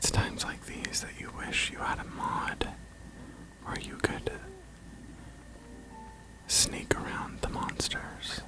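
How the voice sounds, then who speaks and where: Someone whispers at a very slow pace, leaving long and frequent pauses, over noticeable background noise. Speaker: ASMR video game streamer. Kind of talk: whispered let's play walkthrough. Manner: whispered, soft-spoken, relaxing.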